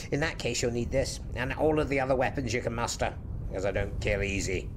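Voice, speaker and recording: Over loud background noise, a man performs a put-on character voice at a fairly quick pace. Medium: audio drama. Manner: brisk, quietly authoritative.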